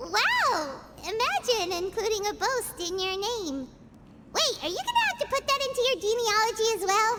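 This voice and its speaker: A squeaky, put-on character voice at an extremely high pitch and moderate pace, over loud background noise. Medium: video game. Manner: lively, exclamatory.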